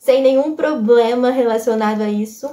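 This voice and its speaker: A woman speaks with a high pitch and a dark, mellow tone. Her pace is moderate. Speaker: YouTuber and author. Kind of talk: casual vlog talk to camera.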